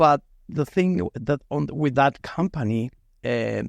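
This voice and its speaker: A man talks with lively intonation in a dry, close sound with no echo. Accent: Mexican. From Mexico. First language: Spanish. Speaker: metal fabrication business owner. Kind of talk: podcast interview.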